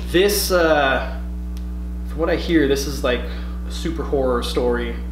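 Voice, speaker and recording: Noticeable background noise behind a man talking at a fairly slow pace. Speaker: comic shop owner or staff. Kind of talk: casual product unboxing video. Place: shop. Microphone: camera far.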